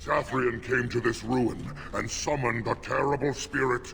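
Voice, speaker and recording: A man's put-on character voice at medium pitch and moderate pace, with clear background noise. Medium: video game. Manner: gruff, intense.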